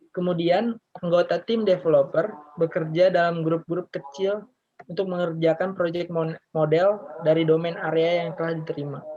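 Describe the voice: A man speaks at a moderate pace with few pauses, his pitch fairly high and barely moving. His tone is dark and mellow.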